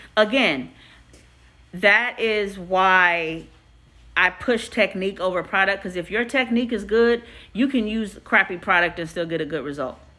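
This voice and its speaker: A woman speaks loudly at a moderate pace in a medium-pitched, bright, sharp voice. Her pitch varies in an ordinary way, and the recording is very clean with a silent background. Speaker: hairstylist. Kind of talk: live stream Q&A. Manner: casual, chatty.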